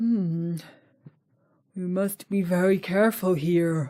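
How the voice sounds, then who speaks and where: A female-sounding voice does a put-on character voice at a middle pitch and a fairly slow pace. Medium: read story.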